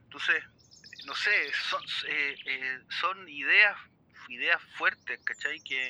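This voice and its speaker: A man with a Chilean accent speaks at a fairly slow pace in a bright, sharp tone with ordinary pitch variation, the sound dry and close with no echo. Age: 40s. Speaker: percussionist. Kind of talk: casual chat.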